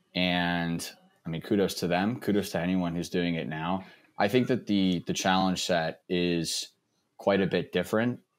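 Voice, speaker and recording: A man with an American accent speaks in a very deep, low voice at a moderate pace, his intonation fairly even, on a very clean recording with a silent background. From Texas. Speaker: space industry writer. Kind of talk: interview conversation. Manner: repetitive false starts.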